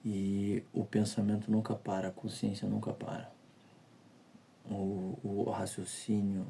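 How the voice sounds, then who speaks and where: Quiet and very slow, a man speaks at a fairly low pitch in a dark, mellow tone, with monotone, flat intonation and long, frequent pauses. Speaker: vlogger. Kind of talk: personal confessional monologue. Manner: speaking quietly; halting, repeats words. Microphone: audio quality may be poor.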